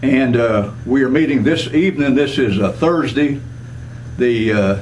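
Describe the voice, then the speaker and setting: Noticeable background noise under a man's voice, its pitch varying in an ordinary way. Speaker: veterans hall secretary treasurer. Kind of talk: interviewer questions.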